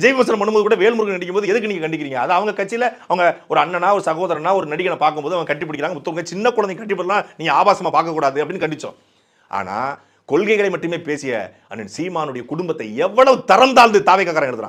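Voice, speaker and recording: A man speaks in an angry tone with lively intonation and a high pitch. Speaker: political speaker. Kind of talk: political speech. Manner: angry, forceful.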